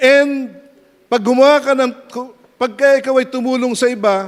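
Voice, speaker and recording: The man speaks at an extremely high pitch. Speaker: pastor. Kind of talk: sermon. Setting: church. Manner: animated.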